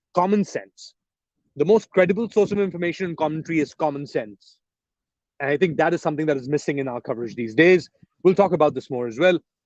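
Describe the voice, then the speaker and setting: Speaking at a very fast pace with an English accent, a man uses lively intonation at a fairly high pitch, with a dry, close sound and no echo. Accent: English-sounding accent with Pakistani roots. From Pakistan, Karachi. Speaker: journalist and political commentator. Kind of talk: live stream Q&A. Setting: outdoors in a park, live stream. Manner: hesitant, many fillers.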